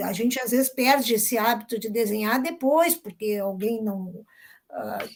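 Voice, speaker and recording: On a very clean recording against a silent background, a woman talks fairly slowly. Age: 60s. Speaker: visual artist. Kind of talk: interview.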